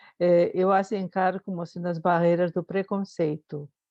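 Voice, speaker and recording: A woman with a Spanish accent speaks fairly slowly in a fairly low voice with fairly even intonation. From Spain, Madrid. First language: Spanish (speaking Portuguese). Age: 70s. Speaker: psychologist, audience member. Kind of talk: question from audience. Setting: video call. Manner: hesitant, with fillers.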